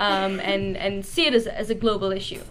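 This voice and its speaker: A woman with an Israeli accent, fairly even intonation and a fairly quick pace. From Israel, Jerusalem. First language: Hebrew. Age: 20s. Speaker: conscientious objector and activist. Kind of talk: talk with Q&A.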